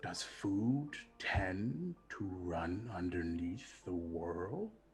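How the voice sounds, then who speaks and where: Someone speaks in a put-on character voice at a very slow pace. Clear background noise is present. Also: man, very deep, low pitch for a man. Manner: menacing.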